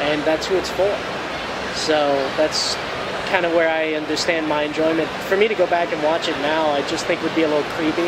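A man speaks fairly quickly while loud noise fills the background. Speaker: interviewee. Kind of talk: interview answer. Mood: relaxed, candid. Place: hall.

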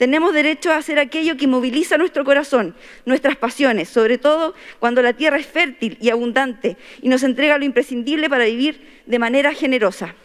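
A woman with a Chilean accent speaks at a high pitch with ordinary pitch variation. Her pace is fairly quick, and the background is quiet. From Chile, Atacama region (Huasco Valley); Atacama, Chile. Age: 30s. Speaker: constitutional convention delegate. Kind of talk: formal speech. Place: hall. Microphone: podium.

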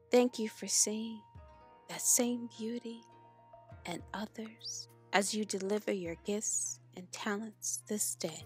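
A very slow, calm, soothing voice with big swings in loudness, over music in the background. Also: woman. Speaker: meditation guide. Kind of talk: guided meditation.

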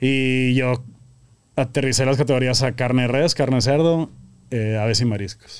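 This man speaks at a medium pitch with very even loudness and fairly even intonation. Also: moderate pace. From Monterrey, northern Mexico; Mexico. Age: 30s. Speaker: grilling association founder; podcast guest. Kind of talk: casual chat. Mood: relaxed, casual. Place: studio. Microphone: studio mic.

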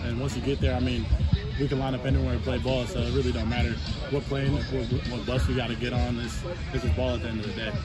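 A man's very fast speech over clear background music, with a dry sound and no echo. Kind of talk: interview answer. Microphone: handheld.

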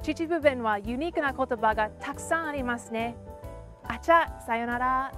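A woman talks at a moderate pace with clear music in the background. The sound is dry, with no echo. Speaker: dialect lesson host. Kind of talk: educational presenter talk. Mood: cheerful, friendly. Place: open country. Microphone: lapel.

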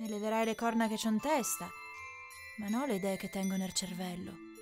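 Speech at a fairly quick pace with ordinary pitch variation plays over music in the background. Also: woman, medium pitch for a woman. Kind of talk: dialect poem read over background music.

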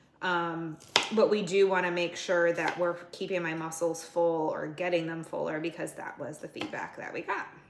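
Over noticeable background noise, a woman with a fairly low pitch talks at a moderate pace in a monotone, flat intonation. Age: 40s. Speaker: fitness vlogger and bodybuilding competitor; fitness competitor vlogger. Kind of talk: casual vlog monologue. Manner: casual, filler-heavy. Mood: frustrated, venting. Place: kitchen. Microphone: phone near.

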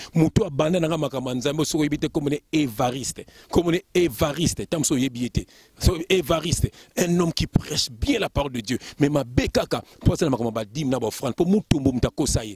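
A man's fairly high, somewhat breathy voice with an animated tone, moderate pace and ordinary pitch variation, dry with no echo against a quiet background. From France, Lille, Congolese family; France. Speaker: preacher. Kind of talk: sermon. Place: garden. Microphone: handheld.

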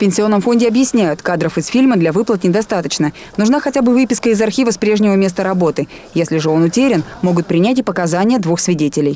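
Over noticeable background noise, a woman talks at a very fast pace with lively intonation and very even loudness. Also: medium pitch for a woman. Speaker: TV news reporter. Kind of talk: TV news report narration.

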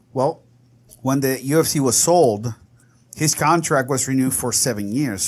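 This is a man with a plain, everyday voice at medium pitch. He talks at a moderate pace with ordinary pitch variation. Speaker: podcast host. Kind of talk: casual chat.

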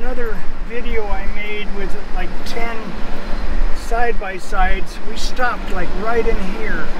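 A man talks at a fairly slow pace while loud background noise fills the recording. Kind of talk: casual vlog chat. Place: car. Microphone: phone near.

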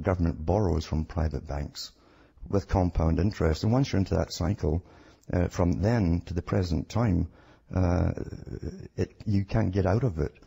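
In a Scottish accent, a man speaks at a fairly slow pace with a very deep, low pitch, ordinary pitch variation and a dark, mellow, somewhat breathy tone. The recording is very clean and dry, close with no echo, against a silent background. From Scotland. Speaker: radio guest, conspiracy researcher. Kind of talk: radio interview.

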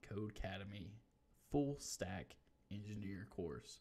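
A man's fairly low voice carries a dark, mellow tone and ordinary pitch variation. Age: 30s. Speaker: YouTuber learning to code. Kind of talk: screen-share tutorial; casual screen-recording commentary. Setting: live stream. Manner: casual, many fillers. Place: home room.

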